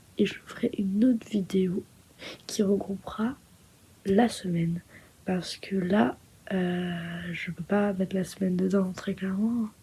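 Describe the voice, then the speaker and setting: Soft-spoken and somewhat breathy, a woman with a medium pitch and a dark, mellow tone speaks at a very slow pace with fairly even intonation and long, frequent pauses. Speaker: vlogger. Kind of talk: vlog outro talking to camera. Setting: indoors at night in holiday accommodation. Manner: soft-spoken, quiet.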